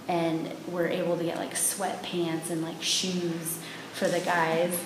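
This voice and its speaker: A woman's fairly low-pitched, fairly slow voice amid noticeable background noise and audible room echo. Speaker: interview guest. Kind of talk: interview answer. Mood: cheerful storytelling. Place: home room. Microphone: camera far.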